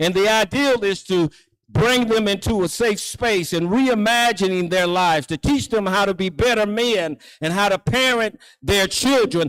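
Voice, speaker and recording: At a moderate pace, a man with a high voice speaks with ordinary pitch variation and very even loudness. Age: 60s. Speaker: preacher. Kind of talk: sermon. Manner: repetitive, halting.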